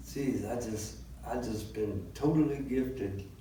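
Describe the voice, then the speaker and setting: The voice moves at a fairly slow pace. Audible room echo and noticeable background noise accompany it. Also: man. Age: 70s. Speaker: blues musician and songwriter. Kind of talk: interview. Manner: halting, with fillers.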